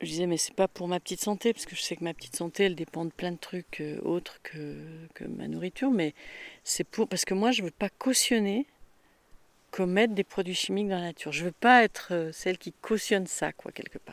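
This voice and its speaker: A woman's normal speaking voice, medium in pitch with ordinary variation and big swings in loudness, at a fairly quick pace, in a very clean recording with a silent background and dry, close sound with no echo. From rural France, farm upbringing. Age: 60s. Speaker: retired farm-raised woman telling her life story. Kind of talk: casual interview, life story. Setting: at her home.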